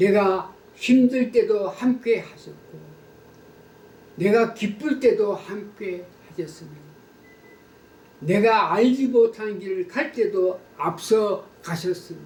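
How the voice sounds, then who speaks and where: A man's high-pitched voice at a very slow pace, with big swings in loudness and long, frequent pauses. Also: ordinary pitch variation. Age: 80s+. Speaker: pastor. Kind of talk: testimony. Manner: formal.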